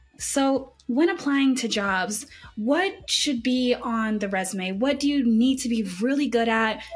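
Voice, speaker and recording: Noticeable background noise sits behind a woman's high voice. She speaks at a fairly slow pace with lively intonation. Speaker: podcast host. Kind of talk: interview, scripted intro.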